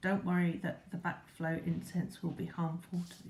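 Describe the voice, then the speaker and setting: The speaker whispers. The pace is moderate. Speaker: product reviewer. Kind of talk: product review demonstration. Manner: whispering; halting.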